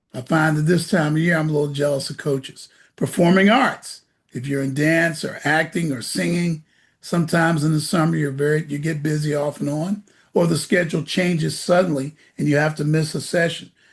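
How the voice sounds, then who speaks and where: Against a quiet background, a man with a fairly high voice talks at a fairly quick pace. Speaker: SAT prep teacher. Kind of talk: orientation talk to parents and students. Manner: loud; animated.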